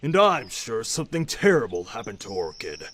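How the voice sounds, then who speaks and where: In a cartoonish character voice, a man speaks fairly quickly at a fairly high pitch, with very wide pitch swings. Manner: earnest, insistent.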